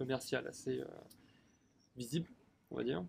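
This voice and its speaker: A man rushes along at a very fast pace, somewhat breathy, with fairly even intonation. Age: 20s. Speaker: shop worker. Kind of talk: interview. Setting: outdoors in a garden. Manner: hesitant, many fillers.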